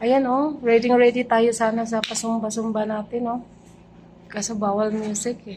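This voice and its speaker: A soft-spoken woman at a fairly high pitch, monotone and flat, at a moderate pace with big swings in loudness, audible room echo and noticeable background noise. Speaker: vlogger. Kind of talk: casual vlog chat. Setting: condo gym. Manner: soft-spoken, lowered voice.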